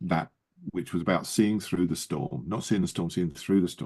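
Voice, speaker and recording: A man talks at a fairly quick pace with a fairly low pitch and a dark, mellow tone. Vocal fry runs through his voice. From Yorkshire, northern England. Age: 70s. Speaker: ministry leader and businessman. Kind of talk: interview.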